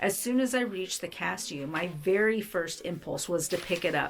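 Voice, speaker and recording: A woman's gentle-toned voice at medium pitch, with ordinary pitch variation, a moderate pace, and music in the background. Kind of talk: devotional book reading. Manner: gentle, tender.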